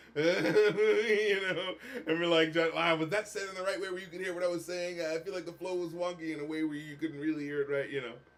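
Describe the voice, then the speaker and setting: A man with a high pitch and ordinary pitch variation talks at a fairly quick pace over noticeable background noise. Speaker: music critic and rapper. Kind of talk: live stream commentary. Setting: live stream. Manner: slurred speech; animated.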